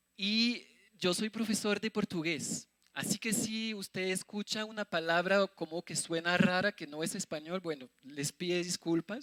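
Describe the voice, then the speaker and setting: Speaking at a moderate pace in a French accent, a man uses a high pitch with ordinary pitch variation, and the sound is dry and close with no echo. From France. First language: French (speaking Spanish). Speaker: missionary preacher. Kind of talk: sermon.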